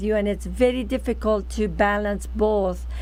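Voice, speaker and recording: A woman with a non-native accent talks, and there is audible room echo. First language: not English. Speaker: talk show host. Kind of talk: interview.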